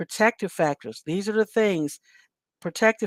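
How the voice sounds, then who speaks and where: In a plain, everyday voice, a woman talks at a moderate pace with ordinary pitch variation on a very clean recording with a silent background. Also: dry, close sound with no echo. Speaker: mental health outreach show host. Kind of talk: solo talk show monologue.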